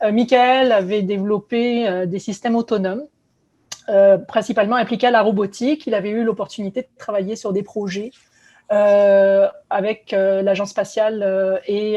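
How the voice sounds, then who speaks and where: A woman with a dark, mellow tone and medium pitch talks at a fairly slow pace, her intonation fairly even. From southern France (Aix-en-Provence, Marseille). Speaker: biotech company co-founder and CEO, scientist. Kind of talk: virtual conference talk. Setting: virtual conference. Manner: many hesitations (euh).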